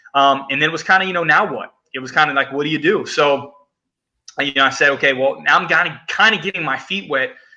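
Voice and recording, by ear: Delivered at a fast pace, the speech has a bright, sharp tone and ordinary pitch variation. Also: man, fairly high pitch for a man.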